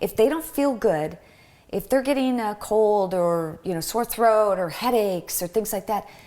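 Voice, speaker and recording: With an American accent, a woman speaks in an unremarkable speaking voice at a medium pitch and a moderate pace, with lively intonation. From Michigan. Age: 50s. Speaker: podcast guest, health advocate. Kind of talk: casual interview.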